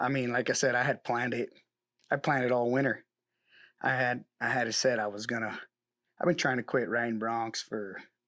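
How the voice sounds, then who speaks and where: An American man speaks at a fairly quick pace with long, frequent pauses, his bright, sharp, medium-pitched voice fairly even in intonation, on a very clean recording with a silent background. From Mexico, then northeast Oregon from age nine. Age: 30s. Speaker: rodeo bronc rider. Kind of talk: interview. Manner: halting, with repetitions.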